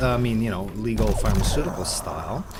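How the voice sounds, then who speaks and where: Music plays in the background as a man with a fairly low pitch speaks amid audible room echo. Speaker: gaming video creator. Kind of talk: gameplay commentary. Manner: animated.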